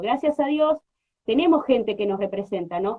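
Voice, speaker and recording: Moving at a fairly quick pace, a woman speaks with ordinary pitch variation. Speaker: radio host. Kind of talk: radio interview. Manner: halting.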